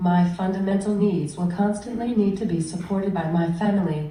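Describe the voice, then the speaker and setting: Medium pitch from a female speaker, with background noise clearly audible. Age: 20s. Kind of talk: prepared speech.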